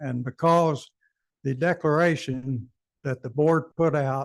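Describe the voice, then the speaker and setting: A man at a very slow pace with fairly even intonation, in a dry, close sound with no echo. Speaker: homeowner at meeting. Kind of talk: public comment. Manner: loud.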